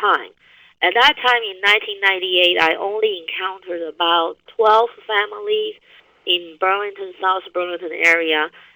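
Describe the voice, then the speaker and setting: The speaker has a Taiwanese accent. The pace is moderate. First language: Chinese (Taiwan). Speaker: university business professor and researcher. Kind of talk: webinar presentation. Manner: halting, with frequent fillers and restarts.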